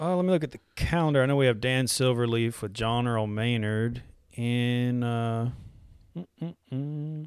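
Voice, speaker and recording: A man with a Texan accent speaks at medium pitch and a fairly slow pace. His pitch variation is ordinary, and the recording is very clean with a silent background. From Texas. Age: 30s. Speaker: singer-songwriter. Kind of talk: casual chat. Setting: studio.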